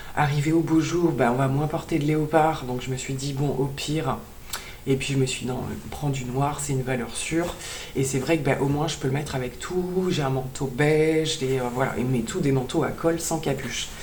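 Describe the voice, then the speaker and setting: A woman with a very deep, low pitch speaks at a moderate pace and fairly even intonation, with audible room echo and noticeable background noise. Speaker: beauty and fashion vlogger. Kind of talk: haul video chat. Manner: hesitant with many fillers.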